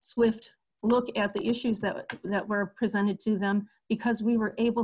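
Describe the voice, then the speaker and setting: A somewhat breathy woman's voice at medium pitch and moderate pace, flat and monotone in intonation, over a quiet background. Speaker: long-term care ombudsman. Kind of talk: webinar presentation.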